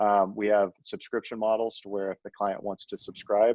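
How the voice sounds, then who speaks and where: Fairly low in pitch, a man with an unremarkable speaking voice talks at a fairly quick pace with fairly even intonation. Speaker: supplement company owner. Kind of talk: podcast interview.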